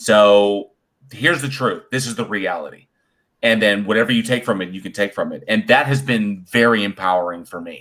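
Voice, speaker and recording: A man with an unremarkable speaking voice talks at a moderate pace and a medium pitch, with ordinary pitch variation. His loudness swings widely in a very clean recording with a silent background. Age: 40s. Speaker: podcast guest. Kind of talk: casual chat.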